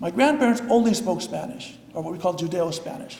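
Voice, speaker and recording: Noticeable background noise and audible room echo surround the recording. A man speaks at a fairly quick pace with a high pitch and lively intonation. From US Pacific Northwest, Seattle. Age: 60s. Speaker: rabbi. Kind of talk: lecture. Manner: halting.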